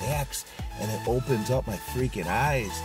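Over clear music in the background, a man speaks at a fairly slow pace in a dry sound with no echo. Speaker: fitness vlogger. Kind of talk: casual vlog chat. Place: car. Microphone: phone near.

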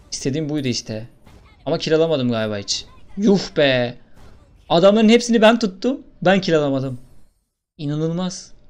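Animated in tone, a man talks at a moderate pace with very wide pitch swings and long, frequent pauses. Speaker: gaming YouTuber. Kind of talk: gameplay commentary.

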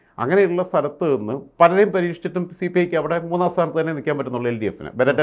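A plain, everyday voice with lively intonation. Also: man. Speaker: political commentator. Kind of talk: interview.

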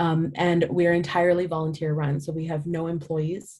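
Against a quiet background, a woman with a very deep, low voice speaks at a fairly quick pace, somewhat breathy and in a monotone, flat intonation. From India. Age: 20s. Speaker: nonprofit founder. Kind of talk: talk to a business audience with Q&A. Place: home room. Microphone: webcam.

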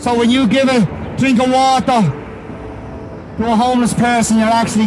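A man's high-pitched voice in an Irish accent, fairly quick, with ordinary pitch variation and noticeable background noise. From Ireland. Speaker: street preacher. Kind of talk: street preaching sermon. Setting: outdoors. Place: street. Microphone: handheld.

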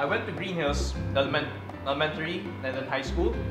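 A man talks at a fairly quick pace. Music is clearly heard in the background. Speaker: cooking show host. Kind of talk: casual interview answer. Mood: playful, joking. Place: kitchen.

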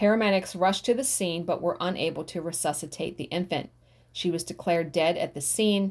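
Here a woman talks at a fairly quick pace in a fairly low pitch. Her pitch variation is ordinary. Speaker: craft YouTuber. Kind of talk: reading true crime stories aloud with personal asides. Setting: home recording. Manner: reads case details plainly, then breaks off with shocked reactions; rambling, conversational, self-correcting. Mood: calm, slightly somber. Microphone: phone near.

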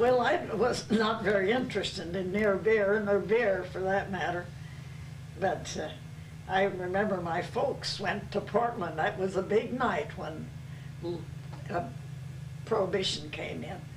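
A woman's voice at a fairly slow pace, with ordinary pitch variation and noticeable background noise. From Salem, Oregon. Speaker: oral history interviewee. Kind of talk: oral history interview answer. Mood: warm, amused. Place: home room. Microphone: old recording.

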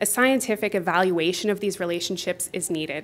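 Talking at a very fast pace, a woman uses ordinary pitch variation. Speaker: health researcher. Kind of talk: conference presentation. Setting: stage with audience. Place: hall.

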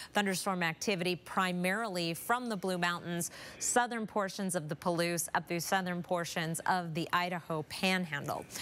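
A woman speaks in a normal speaking voice at a fairly low pitch. Her pace is moderate and her intonation fairly even, on a very clean recording with a silent background. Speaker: TV meteorologist. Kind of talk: weather forecast. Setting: studio.

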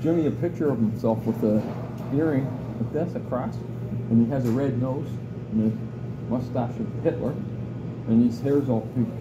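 Long, frequent pauses amid noticeable background noise. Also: man, moderate pace. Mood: joking, laughing. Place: cafe. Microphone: phone near.

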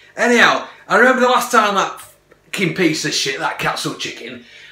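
The recording carries an audible room echo. A man talks at a moderate pace. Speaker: food reviewer vlogger. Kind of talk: casual vlog chat. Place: kitchen. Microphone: phone near.

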